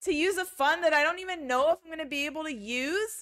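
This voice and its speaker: In a raised, projected voice with an American accent, a woman speaks at a fairly quick pace and a high pitch, her tone animated, bright and sharp, with ordinary pitch variation. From United States. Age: 30s. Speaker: vlogger. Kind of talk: emotional vlog rant.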